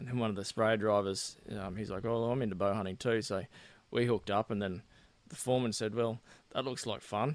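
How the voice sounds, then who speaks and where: Speaking with an Australian accent, a man with a fairly low pitch keeps a fairly even intonation. His pace is fairly quick, and the recording is very clean with a silent background. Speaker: political candidate. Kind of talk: casual interview.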